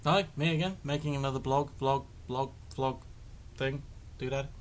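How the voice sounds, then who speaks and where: A man speaks in a West Country accent. His pitch is fairly high and his pace moderate. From Devon, England. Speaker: vlogger. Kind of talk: casual vlog monologue. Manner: halting, many fillers.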